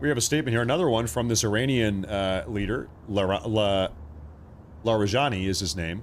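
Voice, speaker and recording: A man speaks fairly quickly, and room echo can be heard around his voice. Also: ordinary pitch variation. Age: 30s. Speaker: live news streamer. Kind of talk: live news commentary. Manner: animated.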